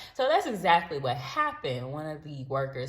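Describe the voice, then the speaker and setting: A woman with an American accent, a very deep, low pitch, a somewhat breathy, animated tone, and lively intonation. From United States. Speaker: travel vlogger. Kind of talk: storytime vlog.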